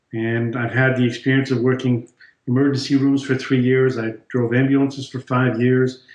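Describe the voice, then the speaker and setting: Speaking at a moderate pace and medium pitch, a man with a French accent keeps a monotone, flat intonation. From France. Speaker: chiropractor. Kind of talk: interview.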